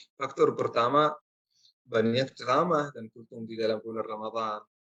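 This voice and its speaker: The speaker has a non-native accent. Delivery moves at a fairly quick pace. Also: man. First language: not Indonesian (speaking Indonesian). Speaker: Islamic preacher. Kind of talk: religious lecture.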